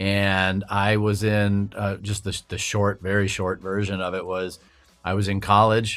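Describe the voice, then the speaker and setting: A man's fairly low voice, fairly slow and fairly even in intonation, over music in the background. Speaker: audio engineer. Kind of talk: interview conversation. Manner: hesitant, many fillers.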